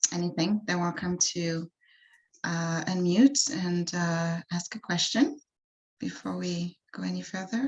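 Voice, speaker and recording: A woman speaks at a fairly slow pace, somewhat breathy. Her voice sits fairly low, with ordinary pitch variation. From France. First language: French. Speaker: wellness coach. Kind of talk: workshop presentation. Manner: halting, many fillers.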